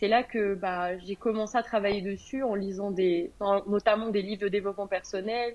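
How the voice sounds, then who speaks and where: Monotone, flat intonation from a woman at medium pitch, speaking at a moderate pace. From France. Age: 20s. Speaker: entrepreneur. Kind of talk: interview.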